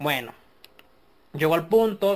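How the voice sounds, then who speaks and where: A man at a moderate pace, lively intonation and an ordinary speaking voice. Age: 40s. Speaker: podcast host. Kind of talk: casual monologue.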